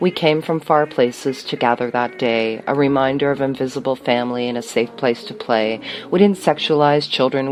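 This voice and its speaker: With music playing in the background, a woman talks in a very deep, low voice with ordinary pitch variation. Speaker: poet. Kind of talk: spoken word poetry. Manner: fast.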